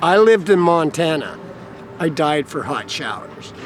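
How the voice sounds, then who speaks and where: Speaking with an American accent, a man with a high pitch uses ordinary pitch variation over noticeable background noise. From US Mountain West (Idaho). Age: 60s. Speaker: homeless carpenter. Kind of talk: interview.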